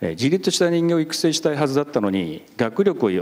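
The pitch swings very widely. The voice belongs to a man. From Japan. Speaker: junior high school principal; panelist teacher. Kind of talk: panel discussion. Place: hall. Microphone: handheld.

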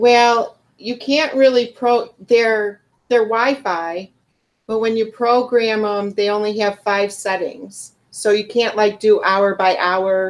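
In a Chicago accent, a woman speaks at a very slow pace. Her pitch is fairly high and her intonation fairly even. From US Midwest. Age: 50s. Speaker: reef aquarium hobbyist; reef hobbyist host. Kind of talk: casual chat. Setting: video call. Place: home room. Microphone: camera far.

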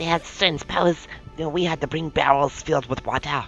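Someone does a put-on character voice at middle pitch and a fairly quick pace, with music clearly heard in the background.

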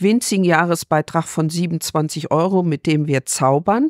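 An ordinary speaking voice from a woman at fairly low pitch, dry and close with no echo, on a very clean recording with a silent background. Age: 60s. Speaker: farmer and rural women's association official. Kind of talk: interview.

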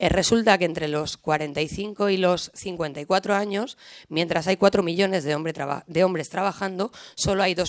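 In a quiet background with dry sound and no echo, a woman with a fairly low pitch talks at a moderate pace with ordinary pitch variation. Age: 20s. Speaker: left-wing party women's activist; speaker. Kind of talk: panel talk. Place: hall. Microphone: podium.

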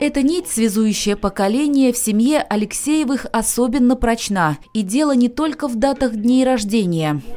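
This woman has a high-pitched voice with lively intonation at a moderate pace. Noticeable background noise can be heard. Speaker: news reporter. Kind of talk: TV news voice-over.

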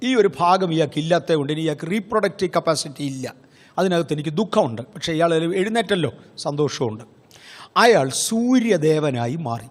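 Pitched fairly high, a man speaks in a plain, everyday voice with lively intonation. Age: 60s. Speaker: pastor. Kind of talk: sermon.

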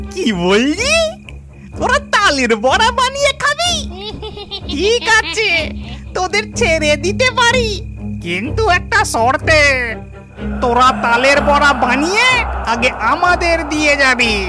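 A cartoonish character voice at a very slow pace, with clear music in the background

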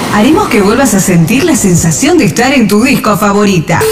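Over music in the background, a woman with a fairly high pitch speaks at a fairly quick pace, her loudness very even while her pitch swings very widely. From Argentina. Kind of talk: DJ intro.

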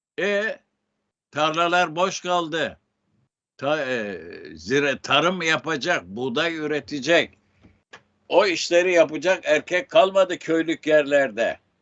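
Very slow speech from a man with a fairly high pitch and ordinary pitch variation. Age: 80s+. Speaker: writer. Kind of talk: interview.

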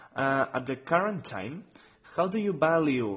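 A man talks with lively intonation, keeping a fairly slow pace. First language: Spanish or Catalan. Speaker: music website interviewer. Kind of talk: interview. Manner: halting.

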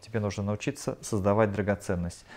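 With fairly even intonation, a man speaks at a fairly low pitch. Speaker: channeling medium relaying answers to audience. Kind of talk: live channeling session at seminar; spiritual session talk, relaying answers. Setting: seminar hall with live audience. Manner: halting. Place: home room.

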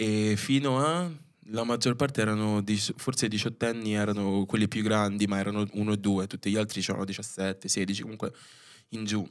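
A man talks at a moderate pace at a fairly low pitch with ordinary pitch variation, over a quiet background. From Rome, Italy (Filipino family). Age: 20s. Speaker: dance choreographer; podcast guest. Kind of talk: casual chat. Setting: studio. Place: studio. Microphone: studio mic.

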